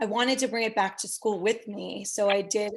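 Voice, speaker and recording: A woman's fairly high voice with an American accent, fairly even intonation and a moderate pace, over a quiet background. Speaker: entrepreneur and motivational speaker. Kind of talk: interview.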